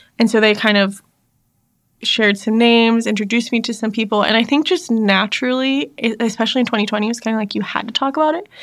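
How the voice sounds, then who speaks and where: The recording is very clean, with a silent background. A woman speaks at a very fast pace, with a fairly high pitch and ordinary pitch variation. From US South, North Carolina (army family, moved around). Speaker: church staff member and former teacher. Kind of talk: casual interview chat.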